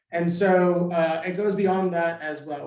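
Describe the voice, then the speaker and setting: With an American accent, a man speaks in a high pitch and a monotone, flat intonation, with audible room echo. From Southern Nevada. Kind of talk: forum presentation. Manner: casual with frequent fillers.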